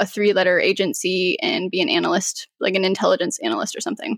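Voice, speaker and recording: A woman with an American accent speaks in a normal speaking voice at a medium pitch, with ordinary pitch variation, on a very clean recording with a silent background. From Colorado, US. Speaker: cybersecurity professional. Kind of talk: interview.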